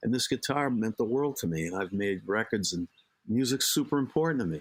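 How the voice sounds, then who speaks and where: A man with a Boston accent speaks at a moderate pace and medium pitch with ordinary pitch variation, on a very clean recording with a silent background. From Boston area, Massachusetts. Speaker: life coach and psychotherapist. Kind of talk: interview conversation. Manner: animated, talkative.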